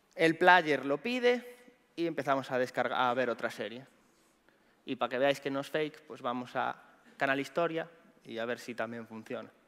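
A man talks with ordinary pitch variation and long, frequent pauses. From Galicia, Spain. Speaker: pentester and conference speaker; conference speaker. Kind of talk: conference talk. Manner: fast. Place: stage.

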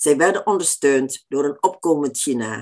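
Against a quiet background, a woman with a very deep, low pitch talks at a fairly slow pace with ordinary pitch variation. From Indonesia. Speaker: author. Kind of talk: lecture. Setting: stage with audience. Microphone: webcam.

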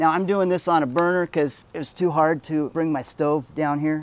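A man talks at a fairly quick pace with fairly even intonation. Light background noise sits under a dry sound with no echo. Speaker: homebrew shop demonstrator. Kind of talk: tutorial. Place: street.

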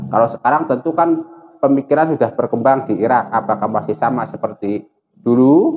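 A man speaks at a moderate pace with a fairly high pitch. It is an unremarkable speaking voice, set against a quiet background. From Indonesia. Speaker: Islamic religious teacher. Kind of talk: religious lecture. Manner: casual. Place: home room. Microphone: lapel.

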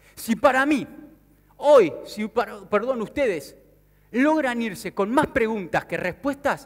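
In an Argentine accent, a man talks at a fairly slow pace with an animated tone against a quiet background. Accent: Rioplatense Argentine Spanish. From Argentina, Mar del Plata. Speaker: sales speaker and business consultant. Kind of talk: motivational conference talk. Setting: stage with audience. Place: stage. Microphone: headset.

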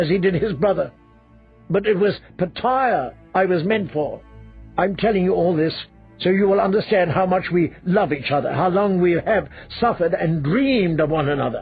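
Over faint music in the background, a man puts on a shrill, high-pitched character voice at a moderate pace. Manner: shrill, jealous, ranting.

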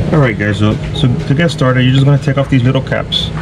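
With music playing in the background, a man talks at a fairly quick pace. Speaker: boat owner DIY creator. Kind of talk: tutorial. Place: boat. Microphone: camera far.

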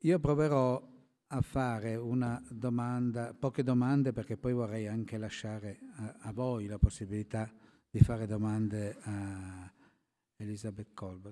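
A man speaks at a fairly slow pace in a medium pitch, his dark, mellow tone carrying fairly even intonation over a quiet background. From Italy. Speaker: moderator. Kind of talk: panel moderation. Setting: stage with audience. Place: hall. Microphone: podium.

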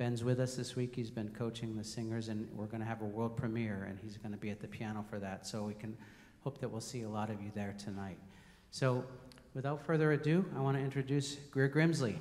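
A man's fairly quick delivery with ordinary pitch variation. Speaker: program host introducing a guest. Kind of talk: event welcome speech. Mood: warm, upbeat. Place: hall. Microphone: handheld.

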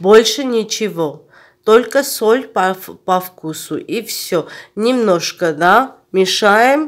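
The speaker has an Armenian accent and lively intonation. The pace is very slow, on a very clean recording with a silent background. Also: woman, fairly high pitch for a woman. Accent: Armenian accent in Russian. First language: Armenian (speaking Russian). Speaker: cooking vlogger. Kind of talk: cooking tutorial.

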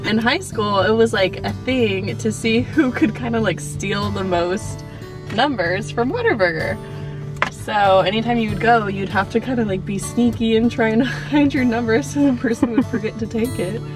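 Clear music plays behind a woman who talks at a moderate pace, the sound dry with no echo. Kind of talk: casual vlog chat. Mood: amused, laughing. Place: car. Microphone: phone near.

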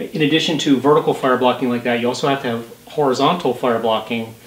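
Speaking at a fairly quick pace, a man uses ordinary pitch variation. Room echo is audible. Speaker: home renovation vlogger. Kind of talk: tutorial. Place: home room. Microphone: camera far.

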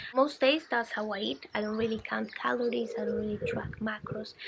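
Loud background noise runs under the speaker. A woman talks at a fairly high pitch. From Colombia. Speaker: wellness vlogger. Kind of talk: casual vlog talk to camera. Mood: calm, friendly. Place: garden.

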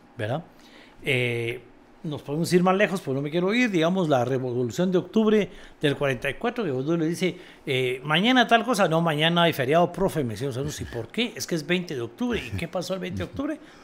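The pitch swings very widely. The pace is fairly quick. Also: man, fairly high pitch for a man. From Guatemala. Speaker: podcast host. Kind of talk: interview. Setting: studio. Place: studio. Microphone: studio mic.

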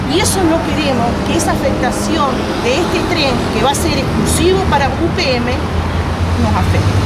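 Loud background noise accompanies a woman speaking at a fairly slow pace. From Uruguay, Sarandí Grande (Florida). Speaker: community activist. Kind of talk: interview. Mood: earnest, concerned. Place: street. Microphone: lapel.

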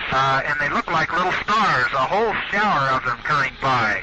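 Loud background noise sits behind a man with an American accent and ordinary pitch variation. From United States. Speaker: astronaut. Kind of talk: radio communication, live space mission. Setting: radio transmission from orbit. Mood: calm, amazed. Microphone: headset.

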